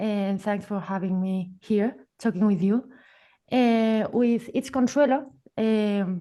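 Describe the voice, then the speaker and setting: Very slowly, a woman with a Spanish accent speaks in a fairly high, dark, mellow voice with ordinary pitch variation. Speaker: filmmaker. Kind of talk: artist talk. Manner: halting.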